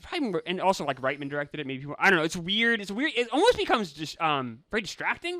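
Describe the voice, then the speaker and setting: Raised and projected, a man's high, bright, sharp voice races along very fast with hardly any pauses, very wide pitch swings and big swings in loudness. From New Hampshire. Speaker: podcast co-host. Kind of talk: casual movie review chat.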